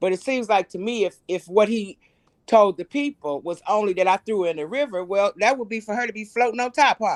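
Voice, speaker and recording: A woman talks at a fairly quick pace in a plain, everyday voice of medium pitch with ordinary pitch variation. The sound is dry and close, with no echo. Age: 60s. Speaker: caller. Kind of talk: call-in livestream commentary.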